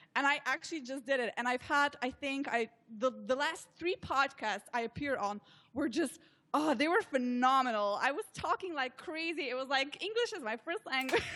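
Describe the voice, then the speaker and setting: A woman with a Slovenian accent uses a raised, projected voice at a moderate pace. Her pitch is high, her intonation lively and her tone bright and sharp. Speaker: social media consultant. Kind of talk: interview.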